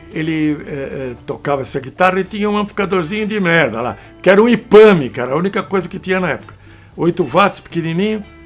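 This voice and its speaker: With music in the background, a high-pitched man talks at a very fast pace. His intonation is lively. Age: 80s+. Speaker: electronics engineer, amplifier builder. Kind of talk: interview answer. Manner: casual, profane storytelling.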